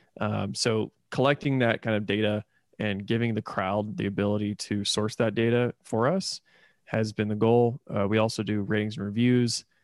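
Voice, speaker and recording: Here is a man with an American accent and a fairly low pitch, his intonation fairly even. He keeps a moderate pace in a very clean recording with a silent background. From Indiana, US Midwest. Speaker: startup founder. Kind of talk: interview.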